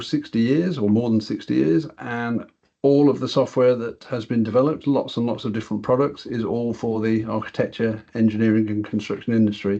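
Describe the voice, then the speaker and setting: A man with a British accent speaks at a fairly quick pace with fairly even intonation. His tone is dark and mellow, and the background is quiet. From England. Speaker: software product director and quantity surveyor; software trainer presenting. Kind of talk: webinar presentation. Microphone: video call.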